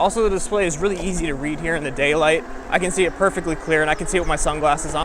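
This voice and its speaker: Against noticeable background noise, a man talks at a very fast pace in a high pitch. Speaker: e-bike reviewer. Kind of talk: product review while riding. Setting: outdoors riding a bike. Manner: casual, with fillers.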